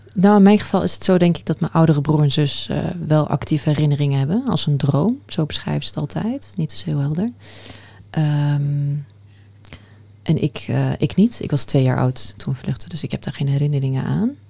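Her voice very deep and low, a woman speaks at a moderate pace. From Netherlands, Afghan family background. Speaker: podcast host. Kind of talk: interview.

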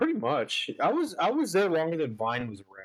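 A loud man at a fairly high pitch talks at a fairly quick pace with very wide pitch swings.

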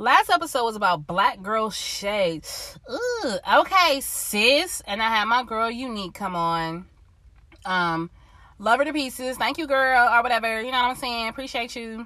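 Her tone is bright and sharp, with lively intonation. The woman keeps a moderate pace. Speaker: solo podcast host. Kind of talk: casual motivational monologue. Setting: recording in a car.

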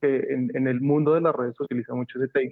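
This man has an ordinary speaking voice, medium in pitch, with fairly even intonation. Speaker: university design department head. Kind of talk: casual brainstorming panel.

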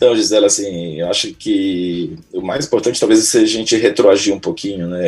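A man speaking at a fairly quick pace. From Brazil, Belém (Pará). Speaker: pediatrician and immunologist. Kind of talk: interview.

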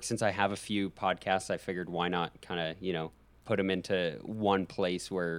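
On a very clean recording with a silent background, a man speaks with an American accent at a fairly low pitch. His delivery is monotone and flat at a moderate pace. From Alberta, Canada. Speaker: podcaster, studying to be a high school teacher. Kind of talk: casual chat.

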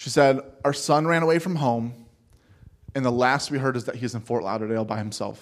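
A normal speaking voice from a man with an American accent, medium pitch, ordinary pitch variation and a fairly quick pace. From Ohio, Cleveland. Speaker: missionary. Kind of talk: sermon. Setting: church.

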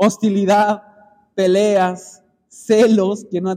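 Dark and mellow in tone, a man speaks with a high pitch. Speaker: preacher. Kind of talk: sermon, expository Bible teaching to a small congregation. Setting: church. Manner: earnest, exhorting, pausing to address the brothers directly.

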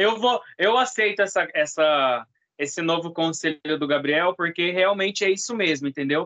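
Moderate pace and ordinary pitch variation from a man pitched high. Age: 20s. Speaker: podcast co-host, video producer. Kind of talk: casual chat.

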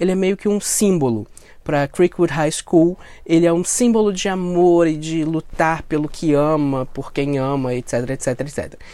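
A man with a high pitch and a dark, mellow tone is heard on a very clean recording with a silent background. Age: 30s. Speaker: podcast host. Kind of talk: casual monologue review. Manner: animated.

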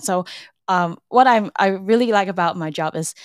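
On a very clean recording with a silent background and a dry, close sound with no echo, a woman uses a normal speaking voice at a moderate pace with ordinary pitch variation. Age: 20s. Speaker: marketing manager. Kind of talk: interview.

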